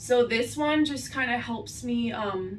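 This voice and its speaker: Audible room echo surrounds a woman's high-pitched voice with lively intonation. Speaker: beauty vlogger. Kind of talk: makeup tutorial. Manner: casual, filler-heavy. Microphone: far from the camera.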